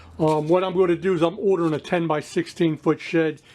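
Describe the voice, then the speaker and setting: The man's voice sits fairly high, with fairly even intonation. He keeps a moderate pace. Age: 60s. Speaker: restoration hobbyist vlogger. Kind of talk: casual vlog talk to camera. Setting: home patio workshop. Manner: halting, many fillers.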